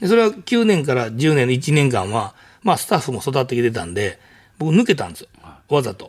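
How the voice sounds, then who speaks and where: A man's fairly high voice, touched with vocal fry, moves at a fairly quick pace with very wide pitch swings in a very clean recording with a silent background. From Kansai, Japan. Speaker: restaurant owner. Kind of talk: casual interview.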